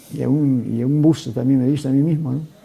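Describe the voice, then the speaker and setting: A man talks very fast in a fairly high voice, with fairly even intonation. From Peru. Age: 80s+. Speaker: former minister of education, university vice-rector. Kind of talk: TV interview.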